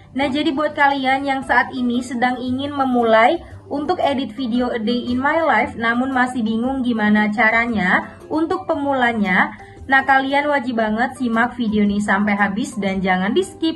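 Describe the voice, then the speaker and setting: A woman's high voice at a moderate pace with hardly any pauses, over faint background music. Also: ordinary pitch variation. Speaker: video editing tutorial creator. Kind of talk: tutorial. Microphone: phone near.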